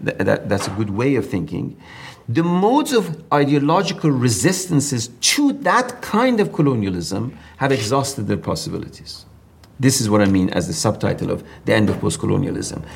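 Using an Iranian accent, a man at medium pitch talks fairly quickly with vocal fry and very wide pitch swings. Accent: Iranian (Persian) English. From southern Iran. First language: Persian. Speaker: professor of comparative literature. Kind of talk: interview conversation.

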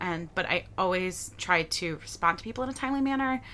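A woman with an American accent speaks fairly quickly at medium pitch, with lively intonation and an ordinary speaking voice. The recording is very clean, the background silent. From Michigan, Detroit area. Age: 20s. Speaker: photographer and content creator. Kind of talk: casual interview. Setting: living room.

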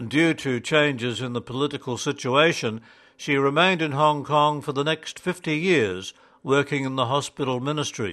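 A man speaks at a moderate pace in a fairly high, bright and sharp voice with a solemn tone and ordinary pitch variation. The background is quiet. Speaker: narrator. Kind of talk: audiobook-style narration of a magazine editorial. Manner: formal, measured, even-paced reading; solemn, earnest and steady.

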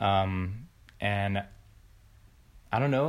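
A man with ordinary pitch variation on a very clean recording with a silent background. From US, small-town Florida. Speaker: film editor. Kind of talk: casual chat. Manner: halting.

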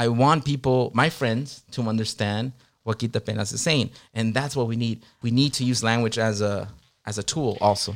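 A man speaks in an unremarkable speaking voice at medium pitch, with fairly even intonation and a moderate pace. The recording is very clean, with a silent background. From Long Beach, California; Mexican immigrant family. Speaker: music producer and DJ. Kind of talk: casual interview chat.

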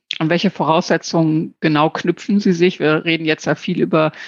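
A woman's very deep, low voice with ordinary pitch variation, in a dry, close sound with no echo and a quiet background. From Lower Saxony. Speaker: podcast host, association director. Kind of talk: interview. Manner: hesitant with fillers.

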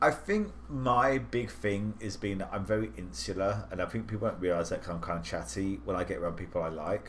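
A man with a British accent, with very wide pitch swings and hardly any pauses. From southern England. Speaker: podcast host and editor. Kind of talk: casual chat.

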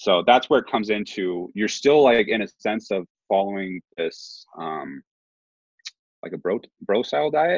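A man talks in a normal speaking voice with a fairly low pitch. His pace is fairly slow and his intonation lively. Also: dry, close sound with no echo. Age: 20s. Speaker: bodybuilding competitor. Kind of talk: casual chat.

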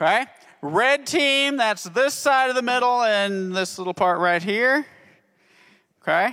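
With an extremely high pitch and a raised, projected voice, a man speaks fairly slowly in an animated, upbeat tone with lively intonation and long, frequent pauses. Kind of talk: game show host patter. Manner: animated, upbeat, playful showman energy.

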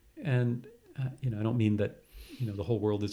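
A somewhat breathy man of medium pitch speaks with an American accent on a very clean recording with a silent background. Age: 60s. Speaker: retired professor. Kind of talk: interview.

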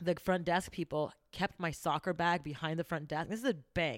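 A woman's fairly low-pitched, normal speaking voice at a moderate pace, with fairly even intonation and a very clean recording over a silent background. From Canada. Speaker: entrepreneur. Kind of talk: casual chat.

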